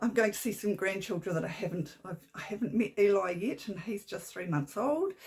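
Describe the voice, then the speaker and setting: A woman's croaky put-on character voice, medium in pitch, at a fairly quick pace. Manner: warm, excited.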